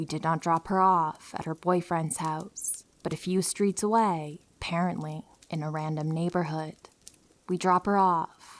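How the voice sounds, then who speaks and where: This woman has a normal speaking voice with a fairly low pitch and fairly even intonation. She talks at a moderate pace in a very clean recording with a silent background. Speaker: horror story narrator. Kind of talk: true horror story narration.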